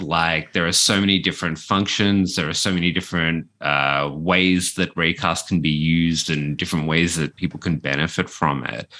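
The man speaks with an Australian accent and a very deep, low pitch. His tone is bright and sharp. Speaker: screencaster. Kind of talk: casual chat. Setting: remote call.

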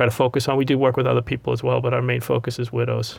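With a Boston accent, a man speaks at a medium pitch in a very clean recording with a silent background. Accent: Boston-area New England. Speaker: financial advisor. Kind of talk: casual interview chat.

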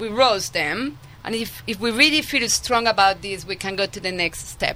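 A woman with a Colombian accent, at a moderate pace. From Colombia (Medellin). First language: Spanish. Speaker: winemaker. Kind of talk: radio interview. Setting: studio.

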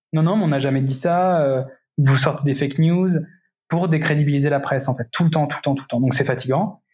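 A man's fairly high voice, a bit breathy, rises and falls in an ordinary way. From France, Indre-et-Loire. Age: 30s. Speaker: cyclist and entrepreneur. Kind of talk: interview.

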